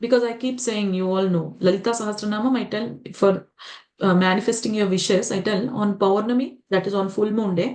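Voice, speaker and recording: Speaking at a moderate pace, a woman with an Indian accent has a fairly high pitch. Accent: Indian English, Telugu. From India, Telugu-speaking region. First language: Telugu. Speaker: spiritual teacher. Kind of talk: lecture. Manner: animated, many rhetorical questions.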